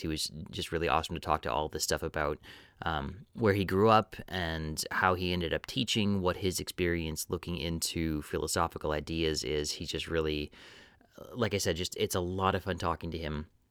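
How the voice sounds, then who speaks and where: An American accent at a fairly quick pace, with ordinary pitch variation, on a very clean recording over a silent background. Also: man. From Wisconsin, US. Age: 30s. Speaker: podcast host. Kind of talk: podcast intro; casual chat.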